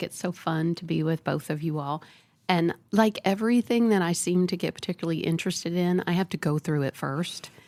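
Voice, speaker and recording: A woman talks in an ordinary speaking voice at a fairly low pitch with fairly even intonation. The sound is dry and close, with no echo. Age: 60s. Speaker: psychologist. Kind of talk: podcast interview.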